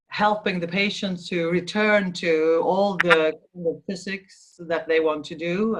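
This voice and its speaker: Speaking with a Swedish accent, a woman talks at a fairly slow pace. Her pitch is fairly low, with ordinary variation. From Sweden. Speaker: physiotherapist. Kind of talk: interview. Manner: halting.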